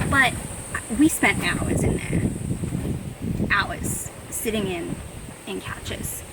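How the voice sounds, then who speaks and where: Against noticeable background noise, a woman speaks at a very slow pace with big swings in loudness. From Australia. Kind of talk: casual talk to camera. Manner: rambling, chatty.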